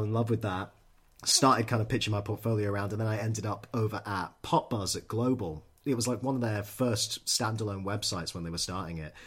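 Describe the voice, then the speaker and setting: Somewhat breathy, a man speaks at a fairly quick pace in a fairly low pitch with ordinary pitch variation, in a very clean recording with a silent background. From Scotland, Edinburgh. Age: 30s. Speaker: music magazine creative director. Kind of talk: interview.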